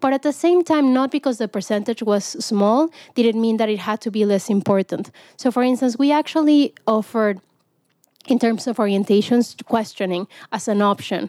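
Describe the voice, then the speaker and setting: The voice has a dark, mellow tone with ordinary pitch variation at a moderate pace. The sound is dry and close, with no echo. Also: woman, fairly high pitch for a woman. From Mexico. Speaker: tech executive. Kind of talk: interview.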